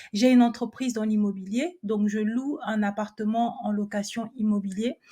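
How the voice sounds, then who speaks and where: A woman talks at a moderate pace. She has a normal speaking voice. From France. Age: 30s. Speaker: entrepreneur and personal finance coach. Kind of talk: interview.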